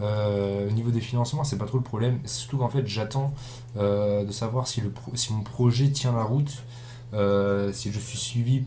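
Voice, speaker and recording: With audible room echo, a man speaks at a medium pitch with fairly even intonation. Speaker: gaming YouTuber. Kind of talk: let's play commentary. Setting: recording at home computer. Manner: monotone; relatively loud. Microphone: cheap built-in webcam mic.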